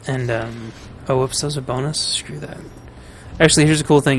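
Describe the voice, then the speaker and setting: Against noticeable background noise, a man speaks at a very fast pace and a medium pitch, in monotone, flat intonation. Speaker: gaming streamer. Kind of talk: casual gameplay commentary. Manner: rambling, hesitant with fillers.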